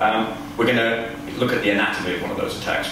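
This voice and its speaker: Amid strong room echo and noticeable background noise, a man with a fairly low pitch speaks at a fairly quick pace. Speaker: keynote speaker. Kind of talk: lecture. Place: hall. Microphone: camera far.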